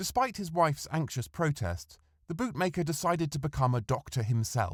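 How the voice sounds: A man at a moderate pace, fairly high in pitch with big pitch swings, on a very clean recording with a silent background.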